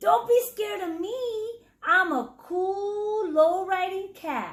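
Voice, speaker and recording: A woman performs a put-on character voice at an extremely high pitch. Her delivery is fairly slow. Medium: read story. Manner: smooth, purring, slangy.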